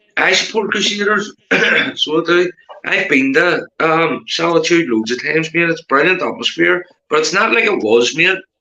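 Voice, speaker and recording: A man with a Belfast accent speaks at a moderate pace in a high voice with ordinary pitch variation. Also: very even loudness. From Northern Ireland, Belfast. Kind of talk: casual chat.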